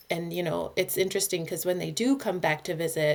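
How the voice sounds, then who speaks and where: A woman speaks with a Minnesota accent at a fairly low pitch. Her pitch varies in an ordinary way. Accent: picked-up Minnesota. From US East Coast (Georgia, Massachusetts). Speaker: play therapist. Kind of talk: interview podcast.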